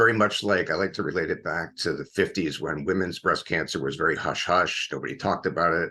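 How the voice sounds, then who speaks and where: Against a quiet background, a man with a very deep, low voice and a bright, sharp tone talks very fast with hardly any pauses and ordinary pitch variation. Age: 60s. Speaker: cancer survivor and foundation founder. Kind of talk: interview.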